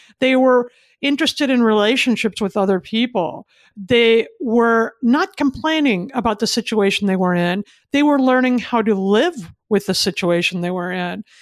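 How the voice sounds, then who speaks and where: Recorded very cleanly against a silent background, with a dry, close sound and no echo, a woman with a normal speaking voice and fairly high pitch speaks at a moderate pace with lively intonation. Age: 50s. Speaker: author and speaker. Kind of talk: interview.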